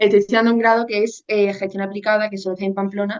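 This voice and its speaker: A woman talks at a very fast pace. Her intonation stays monotone and flat. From Spain, Seville. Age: 20s. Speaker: university student. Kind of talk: personal testimony in interview. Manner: hesitant, many fillers.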